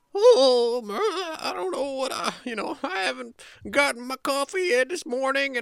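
A put-on character voice, high-pitched and squeaky, at a fairly slow pace

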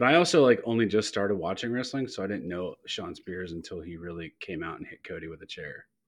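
Speaking at a very fast pace with hardly any pauses, a man with an American accent and fairly low pitch shows big swings in loudness. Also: lively intonation. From Youngstown, Ohio, US Midwest. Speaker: podcast guest. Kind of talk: casual chat.

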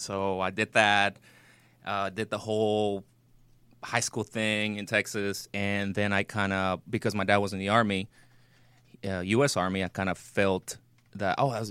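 A man's fairly low voice with a Spanish accent and a flat, monotone delivery. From Mexico. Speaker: actor and military veteran. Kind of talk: casual interview chat; advice to callers.

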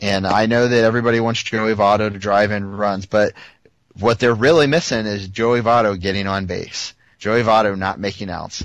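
A man with a normal speaking voice talks at a moderate pace, his pitch fairly low and his intonation fairly even, over a quiet background. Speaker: sports podcast co-host. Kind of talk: casual sports chat. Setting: online call recording.

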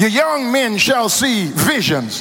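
A man speaks with an American accent over noticeable background noise, and the room echo is audible. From Louisiana. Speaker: pastor. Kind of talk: sermon. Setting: church. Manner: rhythmic call-and-response preaching, rising in intensity.

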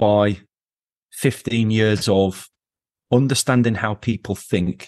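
Over a quiet background, a man with an English accent talks at medium pitch and a fairly slow pace with ordinary pitch variation, the sound dry and close with no echo. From England. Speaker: company founder. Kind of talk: interview.

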